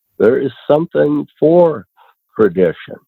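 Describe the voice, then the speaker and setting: A man with an American accent at a very slow pace. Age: 70s. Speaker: conservationist. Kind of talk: podcast interview. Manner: conversational.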